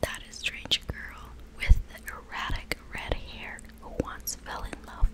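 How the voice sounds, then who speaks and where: Whispering at a very slow pace, with big swings in loudness. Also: woman. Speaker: ASMR creator. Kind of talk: ASMR book reading to help sleep. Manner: whispered, soft-spoken. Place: home room. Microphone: studio mic.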